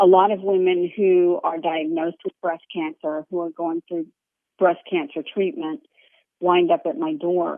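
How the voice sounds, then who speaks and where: A woman speaks at a fairly slow pace in a normal speaking voice, her pitch fairly low with ordinary variation. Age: 50s. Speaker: author and yoga teacher. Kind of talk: interview. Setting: phone call.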